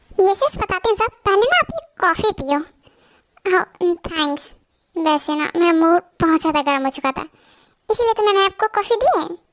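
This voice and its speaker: A woman's put-on character voice at an extremely high pitch and moderate pace, dry and close with no echo. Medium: fan dub. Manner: lively, gossipy.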